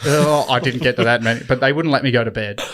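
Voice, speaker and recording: Speaking at a very fast pace with fairly even intonation, a man with an Australian accent has a medium pitch, captured on a very clean recording with a silent background. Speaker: podcast co-host. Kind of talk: casual chat.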